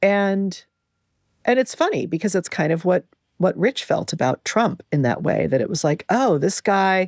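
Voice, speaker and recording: A woman with a Californian accent speaks at a moderate pace, her pitch fairly low and her intonation lively. The recording is very clean with a silent background, and the sound is dry and close with no echo. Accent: General American (California). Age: 60s. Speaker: podcast host. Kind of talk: personal reflective monologue. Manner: conversational, with frequent repetitions and fillers.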